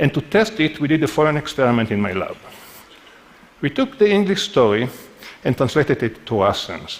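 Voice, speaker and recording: A man's fairly high voice at a fairly quick pace, with very wide pitch swings and a non-native accent. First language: not English. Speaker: neuroscientist giving a talk. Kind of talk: conference talk.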